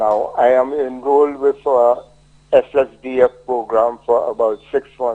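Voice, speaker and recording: A man speaks at a fairly slow pace in a St Lucian accent, his intonation monotone and flat. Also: medium pitch for a man, dry, close sound with no echo. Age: 70s. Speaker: caller. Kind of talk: call-in complaint. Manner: halting.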